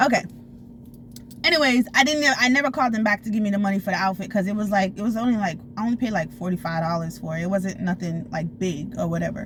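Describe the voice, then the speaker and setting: With vocal fry and very wide pitch swings, a woman talks very fast at a medium pitch. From Florida. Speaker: storytime vlogger. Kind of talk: casual storytelling. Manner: animated.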